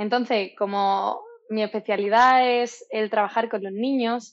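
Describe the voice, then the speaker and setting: A woman speaks at a fairly high pitch with fairly even intonation. Her pace is fairly slow. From southern Spain, Málaga. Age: 20s. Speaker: dietitian-nutritionist. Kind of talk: interview. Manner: hesitant, many fillers.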